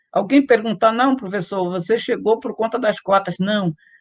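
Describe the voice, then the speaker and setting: With a dry, close sound with no echo and a quiet background, a man speaks at a moderate pace in a high pitch with ordinary variation. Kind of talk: interview testimony. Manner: halting, with frequent fillers.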